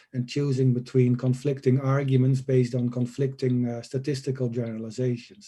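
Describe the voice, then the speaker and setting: A man's medium-pitched, somewhat breathy voice with a dark, mellow tone and monotone, flat intonation. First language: not English. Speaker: conference panelist. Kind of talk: conference Q&A answers. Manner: hesitant, many filler uhs.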